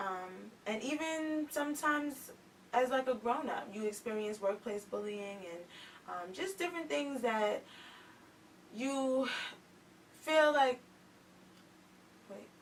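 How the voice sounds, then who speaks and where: Soft-spoken and high-pitched, a woman talks at a fairly slow pace with lively intonation and long, frequent pauses. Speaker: author and youth activist. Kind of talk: talk show interview.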